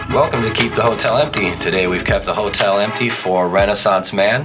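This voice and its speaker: Music plays behind a man with an American accent. His voice is fairly low and his pace fairly quick. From US small town. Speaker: podcast host. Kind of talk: casual chat; scripted intro. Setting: studio.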